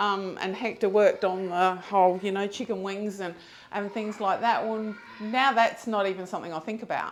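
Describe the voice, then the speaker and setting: A woman with a plain, everyday voice speaks at a medium pitch. Her pace is moderate and her intonation fairly even. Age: 60s. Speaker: gym member. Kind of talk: interview.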